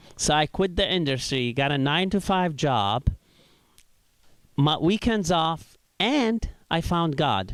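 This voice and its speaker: This man has a slight Iraqi accent. His intonation is lively. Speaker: stand-up comedian. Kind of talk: stand-up. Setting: stage with audience.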